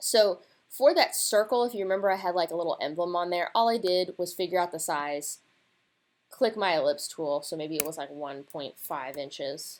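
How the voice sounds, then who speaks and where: A woman with a plain, everyday voice and ordinary pitch variation. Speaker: designer teaching laser-cut design. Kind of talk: screen-recorded tutorial. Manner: casual, conversational.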